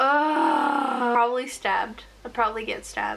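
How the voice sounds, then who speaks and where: Noticeable background noise behind a woman's high-pitched voice, fairly slow pace and lively intonation. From New Zealand (from age five; born Russian-speaking). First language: Russian. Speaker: artist YouTuber. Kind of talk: casual Q&A while drawing.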